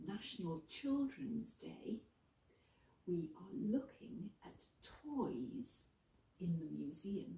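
A woman's dark, mellow tone with vocal fry, very wide pitch swings, a very slow pace, long, frequent pauses and audible room echo. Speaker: museum educator. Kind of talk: educational presentation for children. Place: hall. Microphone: camera far.

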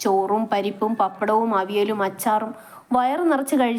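The passage is read aloud plainly, its pitch rising and falling in an ordinary way.

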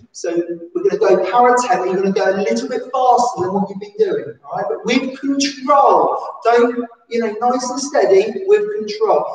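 With an English accent, a woman speaks at a moderate pace in a high voice, her pitch swinging very widely and her loudness rising and falling sharply, with audible echo in the room. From England. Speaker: PE teacher at a special school. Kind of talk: live-stream seated exercise class, calling out football celebration poses to copy. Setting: live stream from home during lockdown. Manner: animated, cheerful cheerleading with whoops and shout-outs; rambling, self-interrupting chatty asides. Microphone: camera far.

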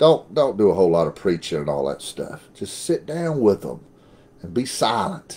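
A man at a moderate pace, with very wide pitch swings. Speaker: former pastor teaching the Bible. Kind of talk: sermon. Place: home room. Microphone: webcam.

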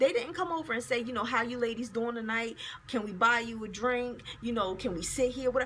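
Fairly quick speech comes from a woman with a high pitch and ordinary pitch variation. Light background noise sits under her voice. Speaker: video blogger. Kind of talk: angry rant, indignant and profane, scolding men who can't take rejection. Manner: heated, fast, sarcastic and exasperated, with emphatic profanity. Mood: annoyed, venting. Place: office. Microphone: phone near.

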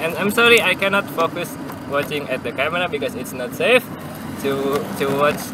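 A man at a fairly high pitch with lively intonation and a moderate pace, over clear background noise

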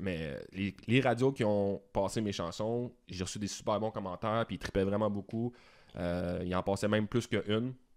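A man's ordinary speaking voice, fairly low in pitch, with fairly even intonation, over a quiet background. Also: moderate pace. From Quebec. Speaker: musician and video producer; podcast guest. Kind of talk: casual interview. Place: studio. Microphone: studio mic.

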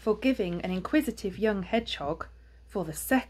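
The words are read aloud in a natural voice.

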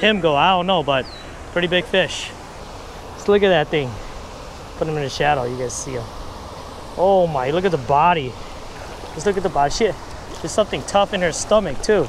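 Over noticeable background noise, a man with a high pitch talks at a fairly quick pace with ordinary pitch variation, the sound dry with no echo. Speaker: fishing vlogger. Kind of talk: casual vlog chat. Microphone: lapel.

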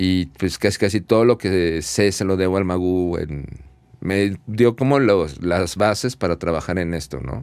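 Against a quiet background, a man talks at a very deep, low pitch in a dry recording with no echo. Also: ordinary pitch variation, fairly slow pace. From Mexico City. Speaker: audio engineer; guest. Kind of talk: casual chat. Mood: relaxed, reminiscing. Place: studio. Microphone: studio mic.

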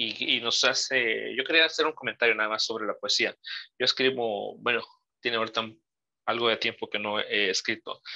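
A man talks at a moderate pace with a quiet background. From Mexico. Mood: reflective, nostalgic. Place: home room. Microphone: video call.

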